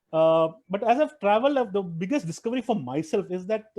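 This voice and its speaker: Very fast and lively in intonation, a man talks in a dark, mellow tone with a dry, close sound and no echo. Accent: Tamil. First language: Tamil. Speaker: private equity investor and traveler. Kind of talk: interview. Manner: halting, many fillers and restarts.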